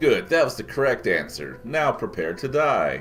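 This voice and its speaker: A man's put-on character voice at a moderate pace over clear music in the background. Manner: nasty, threatening.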